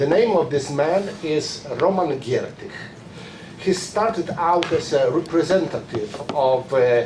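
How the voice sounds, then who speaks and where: With a Polish accent, a man talks fairly slowly at a fairly high pitch and a very even loudness. Noticeable background noise is present. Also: ordinary pitch variation. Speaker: publicist, conference speaker. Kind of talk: reading aloud a prepared conference talk. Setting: conference room with audience. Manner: halting, many fillers.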